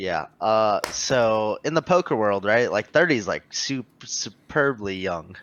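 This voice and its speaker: A man with an ordinary speaking voice talks at a fairly low pitch and a fairly slow pace. His intonation is lively, with hardly any pauses. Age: 20s. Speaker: podcast host and poker player. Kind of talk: casual chat.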